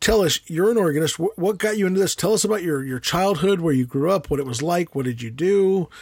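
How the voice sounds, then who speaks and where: Speaking with an American accent, a man uses a high pitch and lively intonation at a very fast pace. He leaves hardly any pauses, and the sound is dry and close with no echo. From USA. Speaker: podcast host. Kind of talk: podcast interview with sponsor read.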